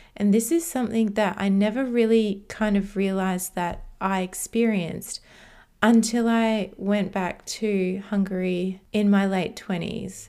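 Her Australian accent comes through as a woman speaks at a medium pitch and a fairly slow pace, with fairly even intonation. The tone is dark and mellow, on a very clean recording with a silent background. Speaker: podcast host. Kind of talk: solo monologue podcast.

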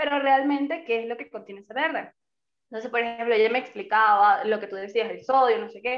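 A woman's unremarkable speaking voice, fairly high-pitched, at a fairly quick pace, with ordinary pitch variation and big swings in loudness. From Venezuela. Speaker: podcast co-host. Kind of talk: casual chat.

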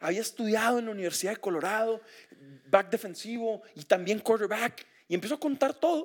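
An animated man talks at a fairly quick pace with a high pitch. His intonation is lively, and his loudness swings a lot. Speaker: sports broadcaster. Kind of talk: casual chat. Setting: home.

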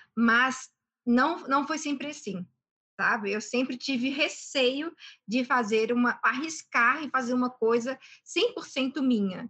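A woman's high, bright and sharp voice, raised and projected, with ordinary pitch variation, at a very slow pace over a quiet background. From Brazil, Belo Horizonte (Minas Gerais). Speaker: entrepreneur and airline pilot. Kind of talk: interview.

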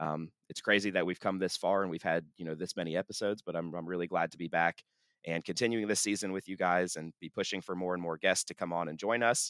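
On a very clean, dry, close recording with a silent background and no echo, a man talks at a very fast pace in a very deep, low pitch with fairly even intonation. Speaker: student podcast host. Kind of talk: interview. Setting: studio.

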